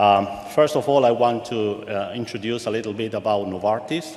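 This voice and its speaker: A man with a Spanish accent and a fairly low pitch speaks at a moderate pace, with audible room echo and noticeable background noise. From Argentina. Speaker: pharmaceutical supply chain executive. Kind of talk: guest presentation. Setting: auditorium with live audience.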